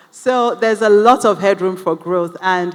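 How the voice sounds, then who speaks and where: A woman speaks with fairly even intonation. Noticeable background noise is present. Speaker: panel moderator. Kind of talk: panel discussion.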